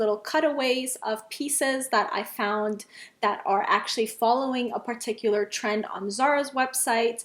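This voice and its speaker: A woman with a non-native accent, high pitch and moderate pace, hardly any pauses in her speech. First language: not English. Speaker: fashion vlogger. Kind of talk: casual vlog talk to camera. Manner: chatty, many fillers.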